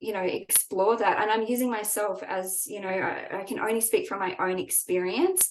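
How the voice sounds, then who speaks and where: With a normal speaking voice, a woman talks at a fairly slow pace and with ordinary pitch variation. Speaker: trauma-informed spiritual coach. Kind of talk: online workshop talk.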